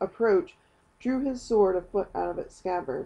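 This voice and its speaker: At a moderate pace, a woman of medium pitch speaks in a plain, everyday voice. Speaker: audiobook reader. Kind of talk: audiobook reading of a novel.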